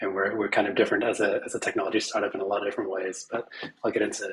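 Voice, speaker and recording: The speech runs at a very fast pace against noticeable background noise. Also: man. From Middle East. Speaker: tech startup founder. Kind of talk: panel discussion. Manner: repetitive, halting starts.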